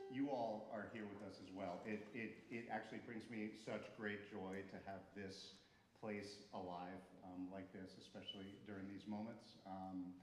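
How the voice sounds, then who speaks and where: A man's fairly low, flat, monotone voice with an American accent, set against audible room echo. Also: fairly slow pace. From New Jersey. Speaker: music school director, conversation host. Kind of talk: welcome speech to a live audience. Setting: recital hall stage with audience. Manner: casual, hesitant with fillers.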